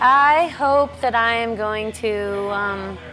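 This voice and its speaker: Noticeable background noise underlies a woman talking at a medium pitch. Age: 40s. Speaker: roller skater and artist. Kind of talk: casual chat.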